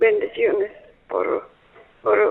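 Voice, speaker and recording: A man speaks at a very slow pace. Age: 80s+. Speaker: caller. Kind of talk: phone call. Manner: halting.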